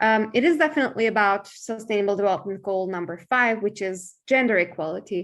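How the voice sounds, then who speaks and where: A woman with a Turkish accent at a medium pitch, at a very fast pace with hardly any pauses and ordinary pitch variation. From eastern Turkey, Kurdish origin. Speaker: human rights lawyer and NGO founder. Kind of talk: online forum talk and Q&A. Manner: hesitant, frequent fillers.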